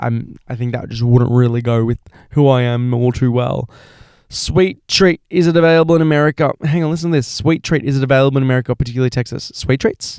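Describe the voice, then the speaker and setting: The sound is dry and close, with no echo. A man talks in an Australian accent. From Australia, Melbourne. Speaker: podcast host. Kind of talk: casual monologue.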